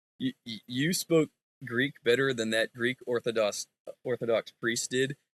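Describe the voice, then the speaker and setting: A man's ordinary speaking voice with an American accent, medium pitch, fairly slow pace and fairly even intonation, recorded dry and close with no echo. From United States. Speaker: Bible student. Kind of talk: casual chat.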